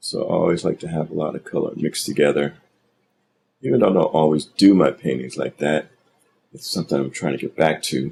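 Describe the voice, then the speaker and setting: A man's very deep, low voice with vocal fry, ordinary pitch variation and a fairly quick pace. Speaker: digital artist. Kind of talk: painting tutorial commentary.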